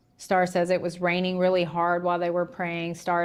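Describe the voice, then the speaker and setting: A woman speaks with a Southern US accent. Her pitch is fairly low. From Tennessee. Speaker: livestream host covering a trial. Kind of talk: casual commentary on news. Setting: livestream.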